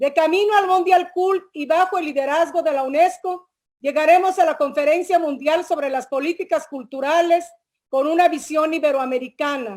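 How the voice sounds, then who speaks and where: This woman's voice has an extremely high pitch. She talks at a moderate pace. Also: ordinary pitch variation. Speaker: government culture official. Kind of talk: formal closing speech. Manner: formal.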